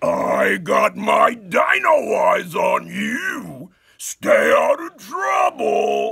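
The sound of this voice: In a cartoonish character voice, a man speaks at a very slow pace with hardly any pauses.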